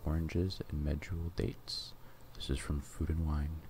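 Very deep, low-pitched male voice, somewhat breathy, at a moderate pace with fairly even intonation, dry with no echo, over light background noise. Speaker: ASMR cooking channel host. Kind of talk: cooking tutorial narration. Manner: softly spoken, whispery. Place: kitchen.

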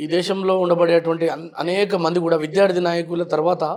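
A high-pitched man with a Telangana accent. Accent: Telangana Telugu. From Telangana, Nalgonda district. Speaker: politician. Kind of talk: interview.

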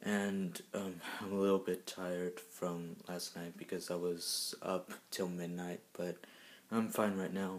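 A quiet man with a very deep, low pitch at a fairly slow pace. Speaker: YouTuber; vlogger. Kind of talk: casual vlog. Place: home room. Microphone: phone near.

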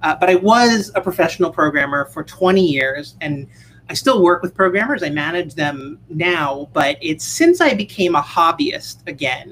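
This woman has a normal speaking voice, fairly low in pitch, with lively intonation. She talks at a moderate pace over light background noise. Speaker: conference speaker. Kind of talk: conference talk. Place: home room.

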